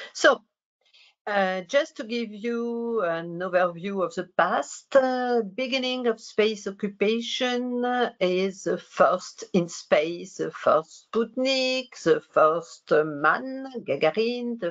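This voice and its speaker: A woman speaks with a French accent at a very slow pace. Her intonation is lively. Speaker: researcher. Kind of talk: lecture. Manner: halting.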